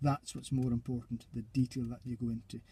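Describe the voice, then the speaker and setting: A man speaks at a medium pitch with a dark, mellow tone. His voice is somewhat breathy. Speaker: driving instructor trainer. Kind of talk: tutorial. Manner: fast.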